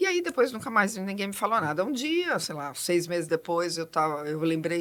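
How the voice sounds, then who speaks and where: Noticeable background noise sits behind a woman of medium pitch whose intonation is lively. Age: 60s. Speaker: diversity consultant, psychologist. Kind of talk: podcast interview. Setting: studio. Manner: fast.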